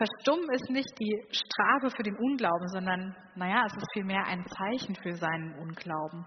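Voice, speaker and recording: Her pace fairly slow, a woman with a plain, everyday voice talks at medium pitch with lively intonation. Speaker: preacher. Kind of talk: sermon in a church, warm and personal, addressing the congregation. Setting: church. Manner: calm, earnest, conversational, with gentle inviting appeals.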